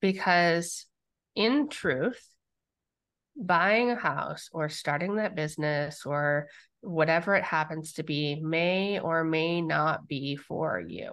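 Her pitch fairly low and its variation ordinary, a woman speaks at a very slow pace. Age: 40s. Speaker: business coach and podcast host. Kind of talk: casual chat.

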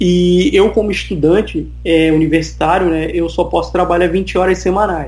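A man talks at a moderate pace with hardly any pauses and very even loudness. Audible room echo and noticeable background noise are present. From Brazil, Rio de Janeiro. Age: 30s. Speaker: IT student, immigrant. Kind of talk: casual interview chat.

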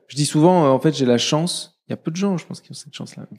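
Very fast and fairly high-pitched, a man speaks with ordinary pitch variation. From Morocco. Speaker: entrepreneur and conference founder. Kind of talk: interview conversation. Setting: office.

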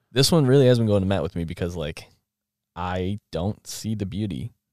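Vocal fry and lively intonation in an American accent, dry and close with no echo, over a silent background in a very clean recording. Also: man. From southern Minnesota. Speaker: podcast co-host, college student. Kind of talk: casual chat about faith.

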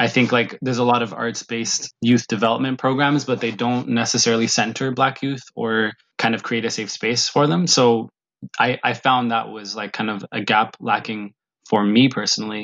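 The speaker talks at a moderate pace with a Canadian accent. The intonation stays fairly even. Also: man, medium pitch for a man. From Ethiopia, raised in Canada. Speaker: musician and youth program founder. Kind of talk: interview. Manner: hesitant with fillers.

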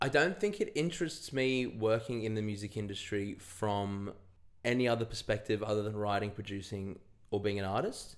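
This is a man speaking with an Australian accent. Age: 20s. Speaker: singer-songwriter. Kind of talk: casual chat.

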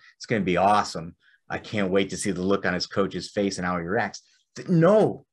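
A man's normal speaking voice, fairly low in pitch with ordinary pitch variation, at a fairly quick pace over a quiet background. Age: 30s. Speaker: podcast host and wrestling official. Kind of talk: casual chat.

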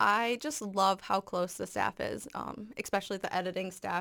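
In an Upper Midwest accent, a woman speaks at a moderate pace with vocal fry, on a very clean recording with a silent background. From Minnesota, Farmington. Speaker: student editor. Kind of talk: casual interview.

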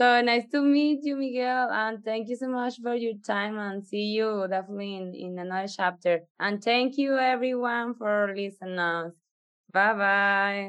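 A woman speaks at a fairly slow pace with a fairly high pitch. Her pitch varies in an ordinary way, and it is an ordinary speaking voice. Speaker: podcast co-host. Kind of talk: casual interview.

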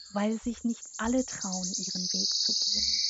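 Over noticeable background noise, a woman with a fairly high pitch talks at a fairly slow pace with fairly even intonation. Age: 30s. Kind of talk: personal monologue.

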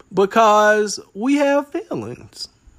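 In a relaxed tone, a man speaks with lively intonation. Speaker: solo podcast host. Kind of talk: casual monologue. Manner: relaxed, conversational with fillers.

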